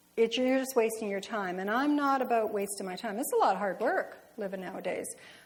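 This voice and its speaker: A woman speaks with a fairly high pitch and lively intonation. Noticeable background noise and audible room echo fill the recording. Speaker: lay speaker at church. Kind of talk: sermon. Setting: church. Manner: fast.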